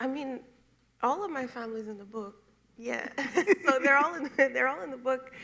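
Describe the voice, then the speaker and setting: A woman projects a raised, high voice at a moderate pace with ordinary pitch variation. Her loudness swings widely, and long, frequent pauses break up her speech. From Jamaica, Montego Bay. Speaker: poet and memoirist. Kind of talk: on-stage interview. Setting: stage with audience.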